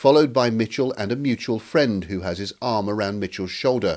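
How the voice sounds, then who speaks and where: An ordinary speaking voice, fairly quick, with lively intonation. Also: man. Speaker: news reporter. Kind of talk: recorded TV news report, scripted voiceover. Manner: grave, steady, measured.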